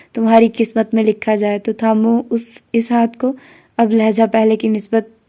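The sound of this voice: A reading voice, unforced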